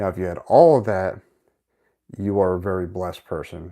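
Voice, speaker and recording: Dark, mellow tone at a fairly quick pace in a very clean recording with a silent background. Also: man. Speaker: motivational YouTuber. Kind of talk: live stream monologue. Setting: live video stream from home setup. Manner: fast; sometimes monotone.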